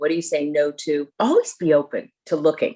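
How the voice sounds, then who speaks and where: A plain, everyday voice with an American accent carries lively intonation. The pace is moderate. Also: woman. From US Northeast, Connecticut. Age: 60s. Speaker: leadership coach and real estate agent. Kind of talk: interview.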